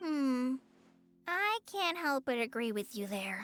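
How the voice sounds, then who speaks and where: In a put-on character voice, a woman speaks at a fairly slow pace, pitched high with very wide pitch swings, in a dry, close sound with no echo and faint music in the background. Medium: video game. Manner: shy, stammering.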